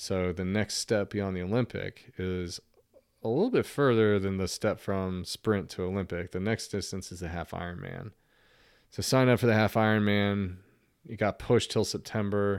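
A man's unremarkable speaking voice, fairly low in pitch, with an American accent, fairly even intonation and a moderate pace, on a very clean recording with a silent background. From Norfolk, Virginia. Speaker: businessman and triathlete. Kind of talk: casual chat.

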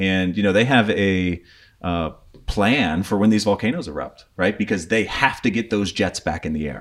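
An American-accented man with an unremarkable speaking voice talks at a moderate pace, with fairly low pitch and ordinary pitch variation. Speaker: army veteran, prepping expert. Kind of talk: casual interview.

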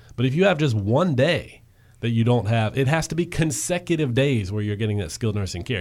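A man's unremarkable speaking voice, medium in pitch, with lively intonation and a fairly quick pace. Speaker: radio host. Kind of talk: interview discussion on radio show.

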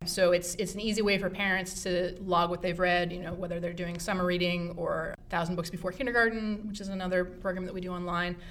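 A woman with a medium-pitched voice rattles along at a very fast pace with hardly any pauses in a monotone, flat intonation, with noticeable background noise behind her. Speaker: librarian and program supervisor. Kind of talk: casual interview chat. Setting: library.

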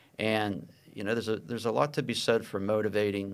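A man with an American accent and a plain, everyday voice, fairly low in pitch, with fairly even intonation. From Pittsburgh, Pennsylvania. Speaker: business consultant and angel investor. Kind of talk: interview. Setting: studio.

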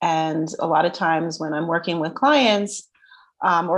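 A woman with a New Jersey accent speaks at a moderate pace in a fairly low pitch, her intonation fairly even. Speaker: self-worth coach. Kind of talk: casual interview chat.

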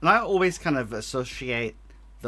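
A man with an Australian accent at a moderate pace. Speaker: podcast host. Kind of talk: casual chat.

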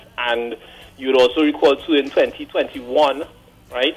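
A man talks at a moderate pace in a fairly high pitch, his intonation monotone and flat. Noticeable background noise runs under his voice. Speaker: caller. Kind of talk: call-in opinion. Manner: halting.

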